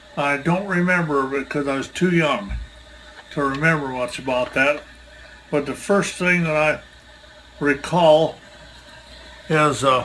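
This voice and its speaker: A man with an American accent speaks at a fairly slow pace with ordinary pitch variation. There are long, frequent pauses and noticeable background noise. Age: 80s+. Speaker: retired farmer, museum volunteer. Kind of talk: oral history interview.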